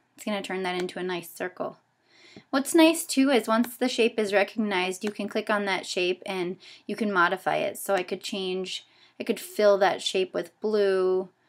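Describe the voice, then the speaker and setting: With an ordinary speaking voice, a woman of medium pitch talks at a moderate pace with ordinary pitch variation in a very clean recording with a silent background. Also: big swings in loudness. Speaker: teacher trainer. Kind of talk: tutorial. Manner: casual with fillers.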